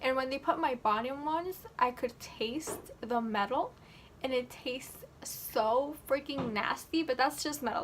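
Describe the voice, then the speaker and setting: With an animated tone, a woman speaks in a high pitch with ordinary pitch variation. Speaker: vlogger. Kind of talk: casual vlog.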